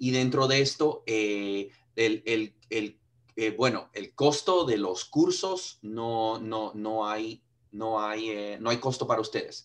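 The man's pitch sits in the medium range. He talks at a very slow pace. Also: ordinary pitch variation. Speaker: sales director. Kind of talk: webinar introduction. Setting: video call.

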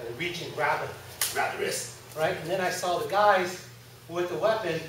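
Noticeable background noise and audible room echo surround a man with a high pitch. He talks at a fairly quick pace with ordinary pitch variation. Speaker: martial arts instructor. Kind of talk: instruction to seminar class. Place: gym.

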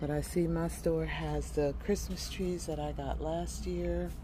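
At a very slow pace, a woman talks over light background noise in a dry sound with no echo. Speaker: shopping vlogger. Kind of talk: casual vlog chat. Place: shop. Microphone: phone near.

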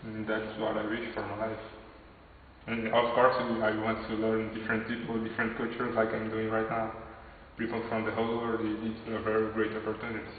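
Amid audible room echo and light background noise, a man talks at a fairly quick pace with monotone, flat intonation. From Brazil. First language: Portuguese. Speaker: computer science student. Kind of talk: interview answers. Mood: hopeful, sincere.

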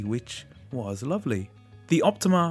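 Music plays behind a man with an Australian accent and a medium pitch. His tone is enthusiastic, with very wide pitch swings. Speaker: retro computer collector. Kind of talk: tech review narration. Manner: friendly, enthusiastic.

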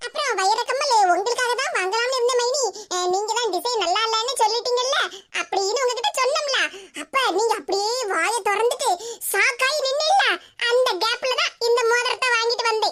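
A woman uses a cartoonish character voice at an extremely high pitch. She speaks at a moderate pace. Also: very even loudness. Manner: sweet, eager, affectionate.

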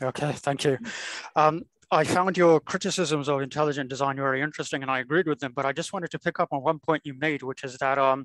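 Against a quiet background, a man with a fairly high pitch speaks at a very fast pace with fairly even intonation and a dry sound with no echo. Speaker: lecture participant asking a question. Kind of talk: Q&A discussion. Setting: video call. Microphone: video call.

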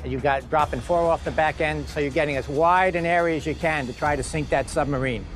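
A man's fairly quick, monotone, flat delivery, with dry sound with no echo and faint music in the background. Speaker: museum director guide. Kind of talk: documentary explanation. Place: boat. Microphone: lapel.

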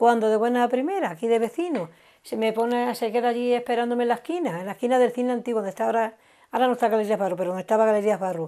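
Quiet background, and a woman talking at a very fast pace with a fairly high pitch. Her tone is dark and mellow, with ordinary pitch variation. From Andalusia. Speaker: guest's wife; interviewee. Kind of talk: casual chat. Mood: warm, amused reminiscing. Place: home room. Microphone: lapel.

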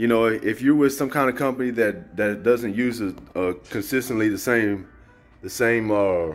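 Faint music plays in the background. A man talks at a moderate pace with ordinary pitch variation. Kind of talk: casual vlog chat. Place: home room. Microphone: phone near.

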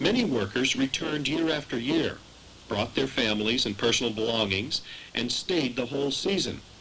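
Lively intonation marks a man's medium-pitched voice at a moderate pace. His loudness stays very even despite noticeable background noise. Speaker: documentary narrator. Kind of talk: history documentary narration, scripted and read aloud. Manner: measured, formal, even-paced.

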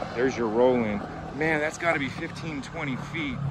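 Loud background noise surrounds a man whose pitch varies in an ordinary way, and the sound is dry with no echo. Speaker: skateboarder vlogger. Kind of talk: casual vlog tour commentary. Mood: excited, impressed. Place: street. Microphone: phone near.

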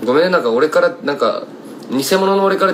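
A man in a Kumamoto accent, lively intonation, and light background noise. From Kumamoto, Japan; Japan. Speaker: singer-songwriter; singer-songwriter streamer. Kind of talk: casual livestream chat. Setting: Instagram live stream. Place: home room. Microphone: phone near.

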